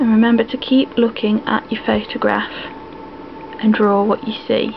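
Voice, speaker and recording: Fairly slow speech from a woman at fairly high pitch, with noticeable background noise. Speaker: drawing tutor. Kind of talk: casual tutorial commentary. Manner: casual, chatty.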